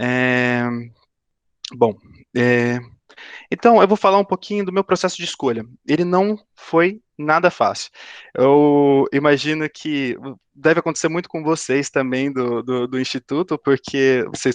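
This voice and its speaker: A man's fairly high voice with lively intonation, a fairly slow pace and long, frequent pauses, in a dry, close sound with no echo against a quiet background. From Brazil, São Paulo state (São José dos Campos). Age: 20s. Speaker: aerospace engineering student, career talk speaker. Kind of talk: career talk to students via video call. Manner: halting, many fillers and repetitions.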